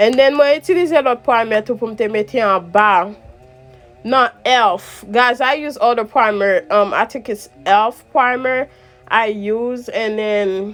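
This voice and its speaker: A woman with a strong Haitian accent speaks fairly slowly in a fairly high voice with ordinary pitch variation. Music plays in the background. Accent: strong Haitian Creole accent in English. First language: Haitian Creole. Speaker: makeup vlogger. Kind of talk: makeup tutorial. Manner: halting, code-switching Creole and English.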